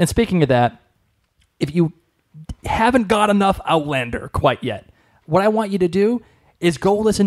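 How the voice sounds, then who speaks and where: The sound is dry and close, with no echo. A man with a Boston accent speaks at a moderate pace, his high voice carrying lively intonation. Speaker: podcast co-host. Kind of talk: casual chat.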